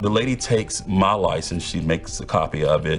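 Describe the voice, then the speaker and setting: With music in the background, a man in an American accent speaks at a moderate pace. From American, Memphis, Tennessee. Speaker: TV news reporter and anchor. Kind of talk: storytelling narration of an investigative story.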